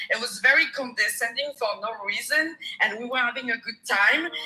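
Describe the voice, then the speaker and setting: Over noticeable background noise, a woman with a French accent speaks at a high pitch with ordinary pitch variation. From France. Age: 30s. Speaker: caller. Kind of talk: personal testimony on a live coaching call.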